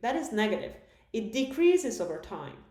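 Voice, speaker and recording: A woman's voice moves through very wide pitch swings, with audible room echo and noticeable background noise. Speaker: math lecturer. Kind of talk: recorded lecture.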